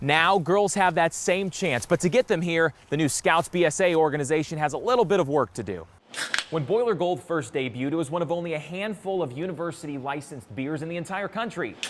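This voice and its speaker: A man talks fast in an energetic tone, his pitch high with ordinary variation. Noticeable background noise runs underneath. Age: young. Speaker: TV news anchor and reporter. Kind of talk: live TV news report and anchor read.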